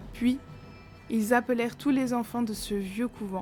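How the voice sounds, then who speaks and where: A woman's intonation stays fairly even while music plays in the background. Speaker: horror storyteller and makeup creator. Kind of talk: horror story narration.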